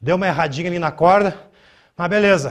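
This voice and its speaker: Talking at a very fast pace, a man uses a high pitch. His intonation is fairly even. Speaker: fitness coach. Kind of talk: coaching tutorial, demonstrating a workout while counting reps aloud. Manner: casual, direct, slangy. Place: gym. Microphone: lapel.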